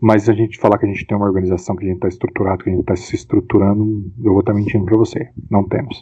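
Very fast and monotone with flat intonation, a man talks at a fairly low pitch. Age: 40s. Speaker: rugby club founder and player. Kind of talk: casual interview.

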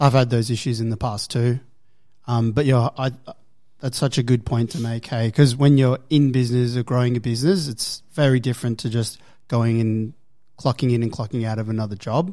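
A man's medium-pitched voice with a dark, mellow tone and fairly even intonation, on a very clean recording with a silent background. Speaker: gym manager. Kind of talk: casual chat.

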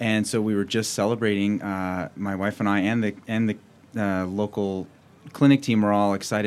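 A man with a normal speaking voice and an American accent, fairly low in pitch, fairly quick, with fairly even intonation. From Wyoming, US (Cheyenne). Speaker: orthopaedic surgeon. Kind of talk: radio interview. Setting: studio.

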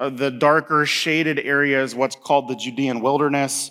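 In a very clean recording with a silent background, a man with a US Midwestern accent and a fairly high pitch speaks at a moderate pace. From Indiana, US Midwest. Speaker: pastor. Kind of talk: sermon.

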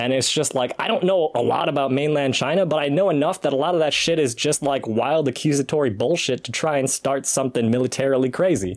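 Over noticeable background noise, a man with a fairly high pitch talks at a very fast pace with hardly any pauses. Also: ordinary pitch variation. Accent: American. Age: 30s. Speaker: podcast guest. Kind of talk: casual chat.

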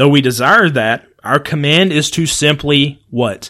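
On a very clean recording with a silent background, a man with a fairly high pitch and a bright, sharp tone speaks with ordinary pitch variation. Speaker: podcast host and preacher. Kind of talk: solo podcast monologue. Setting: home recording room. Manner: fast.

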